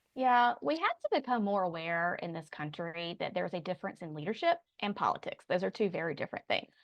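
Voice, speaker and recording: At a very fast pace with hardly any pauses, a woman with a medium pitch and lively intonation speaks in a dry, close sound with no echo against a quiet background. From Raleigh, North Carolina. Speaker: public affairs consultant, former chief of staff. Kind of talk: interview answer.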